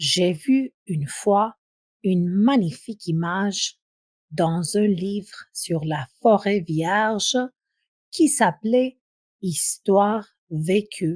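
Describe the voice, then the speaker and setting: A woman speaks very slowly with lively intonation, a somewhat breathy voice, and long, frequent pauses. The recording is very clean and dry, close with no echo and a silent background. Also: medium pitch for a woman. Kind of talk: audiobook reading. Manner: slow, clear.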